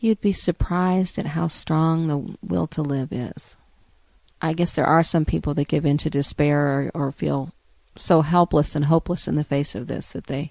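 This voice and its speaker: Against a quiet background, a woman with an American accent speaks at a moderate pace in a very deep, low voice with ordinary pitch variation, the sound dry and close with no echo. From Washington DC / Northern Virginia. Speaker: cancer patient and author. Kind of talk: interview. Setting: radio interview.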